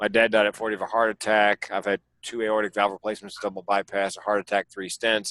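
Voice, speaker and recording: A man with a fairly low pitch and a bright, sharp tone speaks very fast, monotone and flat, with hardly any pauses, in a dry, close sound with no echo. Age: 60s. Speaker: comedian and suicide prevention speaker. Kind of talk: casual chat.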